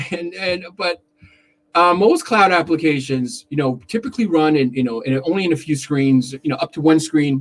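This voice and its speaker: Here a man speaks with a fairly high pitch. His intonation is lively. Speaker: contact center consultant. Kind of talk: live-streamed talk. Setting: live stream on camera. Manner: fast.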